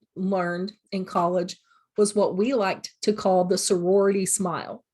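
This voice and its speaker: A woman with an ordinary speaking voice at medium pitch and a moderate pace. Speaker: college teacher. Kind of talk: recorded lecture. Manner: casual, filler words.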